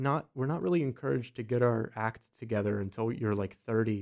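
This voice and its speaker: An unremarkable speaking voice from a man with an American accent, medium pitch, ordinary pitch variation and a moderate pace. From US, south-central Pennsylvania (Gettysburg area). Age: 20s. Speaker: actor, comedian and musician. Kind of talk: casual chat.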